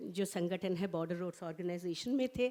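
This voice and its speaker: A woman speaks with a Bengali accent. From India, grew up in border regions across the country. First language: Bengali (speaking Hindi). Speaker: professor of language and literature, translator. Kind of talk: conference speech. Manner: formal.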